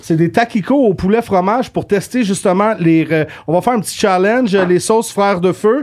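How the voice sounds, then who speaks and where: Animated in tone, a man with a high pitch speaks at a moderate pace with ordinary pitch variation and very even loudness. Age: 20s. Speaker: podcast co-host. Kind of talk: casual chat.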